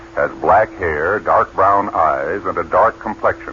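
A man talks over noticeable background noise. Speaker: radio announcer. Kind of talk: old-time radio true-crime drama announcer, stern formal public-service delivery. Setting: old radio broadcast. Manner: grave, authoritative, measured.

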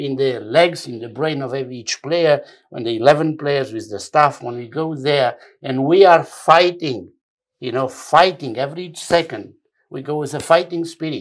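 With a non-native accent, a man talks at a moderate pace in a fairly high pitch, using ordinary pitch variation while his loudness swings widely. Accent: foreign. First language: not English. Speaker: football federation technical director. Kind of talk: interview. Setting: studio. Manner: halting.

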